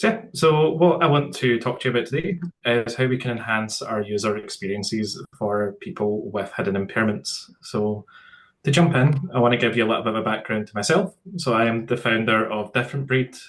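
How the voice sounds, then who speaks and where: A man speaks with a Scottish accent at medium pitch. His intonation is lively and his pace fairly quick. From Scotland. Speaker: tech startup founder, accessibility speaker. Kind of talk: webinar presentation. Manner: some hesitations and repeated words.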